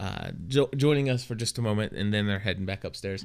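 A man speaks in a normal speaking voice, fairly low in pitch, with ordinary pitch variation. The recording is very clean, the background silent. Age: 30s. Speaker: podcast co-host. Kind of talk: casual chat.

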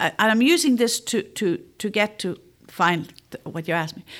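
In a Northern Irish accent, a woman speaks with a fairly high pitch. Her voice moves in very wide pitch swings. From Northern Ireland, Armagh. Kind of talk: faith testimony interview.

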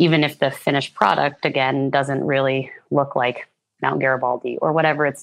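In an American accent, a woman speaks fairly quickly at a very deep, low pitch with monotone, flat intonation. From US Northeast, Hudson Valley, New York State. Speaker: mural artist and wilderness guide. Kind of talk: casual interview.

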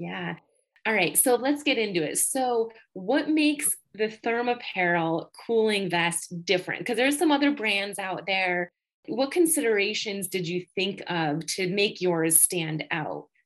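A woman's voice in an American accent, fairly slow, with very wide pitch swings. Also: medium pitch for a woman. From Western New York. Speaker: podcast host, physical therapist. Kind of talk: casual interview.

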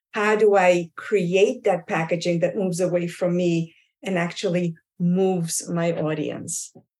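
A woman speaks at a fairly slow pace and a medium pitch. She has an ordinary speaking voice. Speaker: communication and pronunciation coach. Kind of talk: professional panel discussion.

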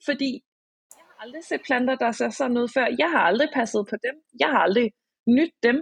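The sound is dry and close, with no echo. A woman speaks at a high pitch with ordinary pitch variation. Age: 20s. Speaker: author and social psychiatry worker. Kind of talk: casual chat. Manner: halting.

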